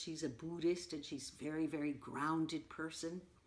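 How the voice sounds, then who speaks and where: This woman's pitch is very deep and low. She has an American accent. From New York City. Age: 80s+. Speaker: poet and community organizer. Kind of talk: oral history interview. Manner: animated.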